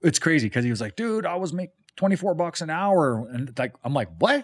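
A man with a western Canadian accent and lively intonation. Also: very clean recording, silent background. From Calgary, Alberta, Canada. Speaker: painting business owner and musician. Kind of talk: casual chat. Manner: casual.

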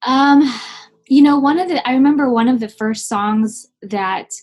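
At a moderate pace, a woman speaks in a somewhat breathy voice with ordinary pitch variation. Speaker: singer-songwriter and teacher. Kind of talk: casual interview chat.

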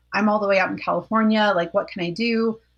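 A woman with a normal speaking voice, fairly high in pitch with ordinary variation, against a quiet background. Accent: American. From Colorado. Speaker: former evangelical college student. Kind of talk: interview testimony.

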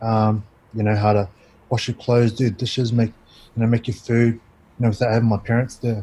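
A man speaks at a fairly quick pace in a medium pitch. His voice is somewhat breathy and his intonation monotone and flat. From Christchurch, New Zealand. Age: 20s. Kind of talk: casual interview chat, personal storytelling. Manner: relaxed, conversational, uses 'bro'.

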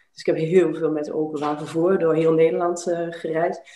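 A woman with a fairly low pitch talks amid audible room echo. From Netherlands, Twente (Enschede). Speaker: life coach. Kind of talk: interview conversation.

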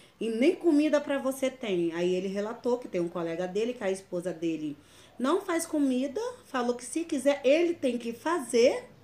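Her pitch rises and falls over a very wide range. The speaker is a woman. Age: 30s. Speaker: domestic violence survivor. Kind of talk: testimony. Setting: at her home. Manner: casual, conversational.

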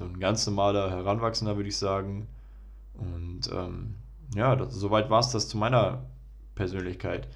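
Amid audible room echo, a man with a fairly low pitch and vocal fry talks at a moderate pace, with ordinary pitch variation and long, frequent pauses. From Germany, Ruhr area (Bochum). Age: 20s. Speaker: podcast host, medical student. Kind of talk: solo podcast intro monologue.

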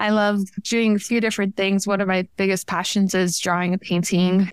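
In a plain, everyday voice, a woman speaks at a medium pitch and a fairly quick pace on a very clean recording with a silent background. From Miami, Florida (Cuban-American family). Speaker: engineering PhD student. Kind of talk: interview.

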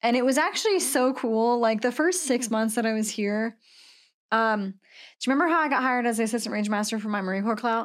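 Talking at a fairly quick pace, a woman with a fairly high pitch and an American accent uses an ordinary speaking voice with ordinary pitch variation. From Washington State. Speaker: Marine veteran and coffee roaster. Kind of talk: casual chat.

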